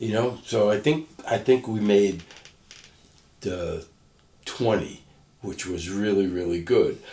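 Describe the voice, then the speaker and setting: A man with a New York accent, fairly low in pitch and dark, mellow in tone, at a very slow pace with long, frequent pauses and ordinary pitch variation. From Brooklyn, New York. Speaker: former doo-wop singer, businessman and author. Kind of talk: interview answer.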